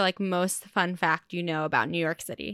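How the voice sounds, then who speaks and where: A woman speaks with a Californian accent. The recording is very clean, with a silent background. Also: dry, close sound with no echo. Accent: Californian American. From Southern California suburbs. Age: 20s. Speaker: podcast host. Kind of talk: casual interview chat.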